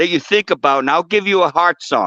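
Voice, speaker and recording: In a dry, close sound with no echo, a man speaks with a bright, sharp tone. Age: 70s. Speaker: guest on spiritual talk show. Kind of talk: casual chat. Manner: animated.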